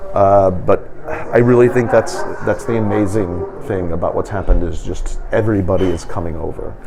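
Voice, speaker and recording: A man with an American accent talks at a moderate pace with hardly any pauses, with music in the background and audible room echo. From United States. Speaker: physician assistant and volunteer. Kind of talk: interview. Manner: halting.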